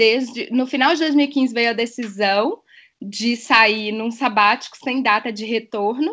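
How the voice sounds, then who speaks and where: Fairly high-pitched female voice, bright and sharp, at a fairly slow pace with ordinary pitch variation. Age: 30s. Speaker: dive instructor and biologist. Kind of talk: podcast interview.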